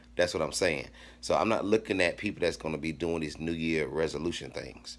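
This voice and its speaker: This man talks at a fairly quick pace in a very deep, low pitch, with ordinary pitch variation and vocal fry. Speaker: fitness vlogger. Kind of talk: casual motivational talk to camera. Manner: fast; animated.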